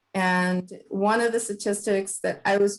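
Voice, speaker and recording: With a Spanish accent, a woman speaks at a medium pitch. Her intonation stays fairly even. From Houston, Texas. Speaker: panelist. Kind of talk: panel discussion.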